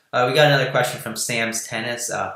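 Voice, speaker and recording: With a New Jersey accent, a man speaks at a medium pitch. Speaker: political news podcast host. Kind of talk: live stream political chat.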